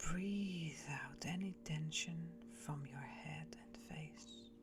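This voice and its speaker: Very slow speech from a woman with music in the background. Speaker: meditation guide. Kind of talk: guided meditation. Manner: gentle, soft-spoken.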